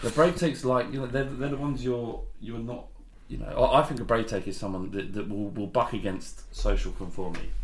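A man talks in a Cockney accent at a fairly quick pace. His pitch is medium, with ordinary variation. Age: 30s. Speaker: football podcast co-host. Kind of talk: casual chat.

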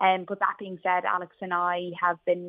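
Speaking at a moderate pace, a woman with an Irish accent has a fairly low pitch. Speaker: business founder. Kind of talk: radio interview.

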